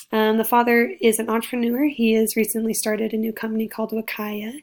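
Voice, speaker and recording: A woman's very fast delivery in monotone, flat intonation. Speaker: student. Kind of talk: class presentation. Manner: hesitant with fillers.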